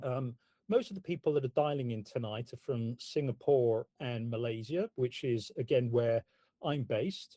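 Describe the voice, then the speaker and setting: A man with a British accent speaks at medium pitch and a fairly slow pace, his tone dark and mellow. His intonation is lively, and the sound is dry and close with no echo. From UK. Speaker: property investment company founder. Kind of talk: webinar presentation.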